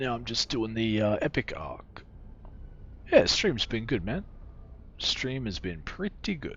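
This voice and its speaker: Quiet and relaxed in tone, a man speaks at medium pitch and a fairly slow pace. His pitch swings very widely, with long, frequent pauses. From Australia. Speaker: video game streamer. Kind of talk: casual live-stream chat. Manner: relaxed, chill.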